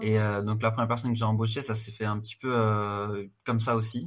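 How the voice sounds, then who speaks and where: A man's fairly low voice at a moderate pace, with monotone, flat intonation. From France, Strasbourg. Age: 30s. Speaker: fitness coach and agency founder. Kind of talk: casual interview. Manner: hesitant, many fillers and repetitions.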